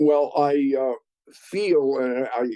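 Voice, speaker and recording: A man with an American accent and a dark, mellow tone, in a dry, close sound with no echo. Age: 80s+. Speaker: retired finance executive. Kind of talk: interview.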